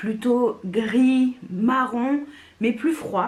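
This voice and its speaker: Over noticeable background noise, a woman speaks very slowly in a fairly high pitch. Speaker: beauty youtuber. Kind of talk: product review. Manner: not very loud; casual, many hesitations.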